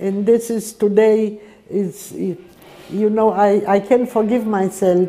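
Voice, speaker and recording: The woman's pitch is medium and her intonation fairly even. She speaks at a very slow pace. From Poland. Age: 80s+. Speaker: Holocaust survivor. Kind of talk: testimony. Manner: halting.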